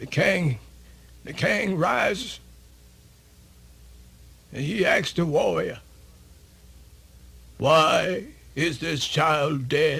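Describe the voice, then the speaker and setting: A man puts on a raspy, high-pitched character voice. He goes at a very slow pace with long, frequent pauses. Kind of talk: radio theatre folktale performance. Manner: folksy, animated.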